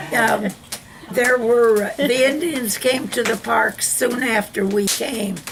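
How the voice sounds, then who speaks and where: Speaking at a very slow pace, a woman with a fairly high pitch uses ordinary pitch variation over noticeable background noise. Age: 80s+. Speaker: longtime neighborhood resident. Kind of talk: oral history interview answer.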